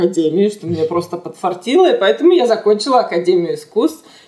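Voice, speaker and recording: Fairly high female voice with very wide pitch swings over noticeable background noise. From Russia (Chelyabinsk), later Israel. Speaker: animation art director. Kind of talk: interview.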